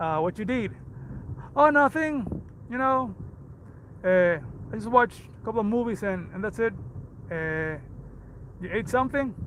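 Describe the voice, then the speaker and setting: A man with a Puerto Rican accent speaks at a high pitch and a moderate pace, using lively intonation and long, frequent pauses. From Puerto Rico. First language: Spanish. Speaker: fitness coach. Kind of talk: livestream motivational talk. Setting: livestream.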